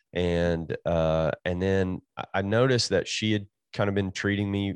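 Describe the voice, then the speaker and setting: Speaking with a Kentucky Appalachian accent, a man talks at a moderate pace and fairly low pitch with fairly even intonation, the sound dry and close with no echo against a quiet background. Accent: Kentucky Appalachian Southern, noticeable. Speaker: pastor. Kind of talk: casual interview chat. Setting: remote call from California.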